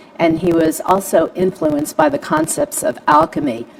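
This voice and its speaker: Noticeable noise sits behind a woman who talks with a fairly low pitch and ordinary pitch variation. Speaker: homeopathic practitioner. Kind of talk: panel presentation. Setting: Facebook live stream. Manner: fast.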